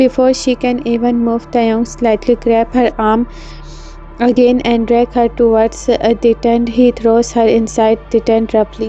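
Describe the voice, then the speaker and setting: Music in the background under a woman with a fairly high pitch, a monotone, flat intonation, very even loudness and a fairly slow pace. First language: non-native English speaker. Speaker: fanfiction narrator. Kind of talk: read fanfiction story with character lines. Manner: hesitant, with fillers.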